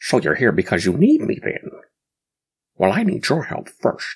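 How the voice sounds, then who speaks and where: A man in a put-on character voice, fairly high in pitch, at a moderate pace. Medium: read story. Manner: chatty, full sentences.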